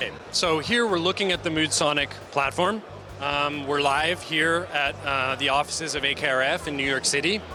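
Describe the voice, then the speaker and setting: Over music in the background, a man with an American accent speaks at a moderate pace with a fairly high pitch, ordinary pitch variation and very even loudness. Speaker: company founder and CEO. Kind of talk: product demo; trade show interview. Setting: trade show stand. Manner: hesitant, many fillers.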